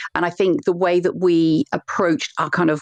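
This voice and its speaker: A woman's fairly low voice, dry and close with no echo. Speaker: podcast co-host. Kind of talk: casual chat.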